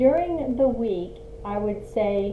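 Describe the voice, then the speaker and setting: A woman at a medium pitch talks very slowly over noticeable background noise, with audible echo in the room. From Australia. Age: 60s. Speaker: lifestyle vlogger. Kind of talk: casual tutorial. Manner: halting with fillers.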